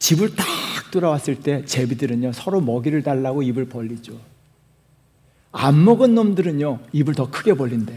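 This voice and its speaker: At a moderate pace, a man with a fairly high pitch speaks in an animated tone with lively intonation, leaving long, frequent pauses. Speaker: pastor. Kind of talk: sermon.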